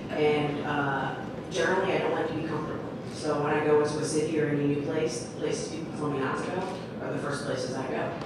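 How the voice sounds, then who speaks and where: Over loud background noise and audible room echo, a woman speaks at a very fast pace. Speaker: storyteller. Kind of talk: live storytelling. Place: stage.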